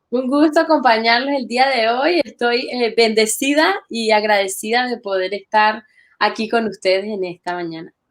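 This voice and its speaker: Her pitch fairly high and her intonation lively, a woman with a slight Venezuelan accent speaks at a moderate pace. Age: young. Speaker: church literature ministry worker. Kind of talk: interview.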